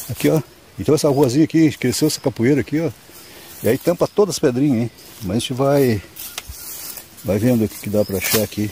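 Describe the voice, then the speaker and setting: Over noticeable background noise, a man with a medium pitch and lively intonation speaks very fast but with long, frequent pauses, in a dry, close sound with no echo. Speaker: stone prospecting vlogger. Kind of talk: outdoor vlog narration. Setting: outdoors in the woods. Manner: casual, filler-heavy.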